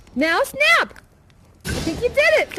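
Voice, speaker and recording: A put-on character voice sounds female and squeaky. Its pitch is extremely high. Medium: stage play. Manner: giggly, rambling, enthusiastic.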